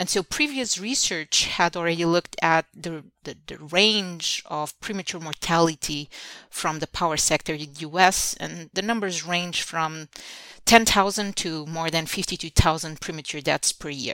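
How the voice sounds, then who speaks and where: On a very clean recording with a silent background and a dry, close sound with no echo, a woman with a Portuguese accent speaks at a moderate pace in a fairly low pitch, with a bright, sharp tone, ordinary pitch variation and big swings in loudness. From Portugal. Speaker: engineering professor. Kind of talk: interview. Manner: halting, many fillers and repetitions.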